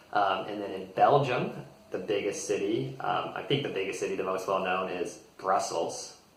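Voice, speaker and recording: A man's relaxed voice at a moderate pace, with audible room echo. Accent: American. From United States. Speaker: English teacher. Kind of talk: tutorial. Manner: relaxed with frequent fillers.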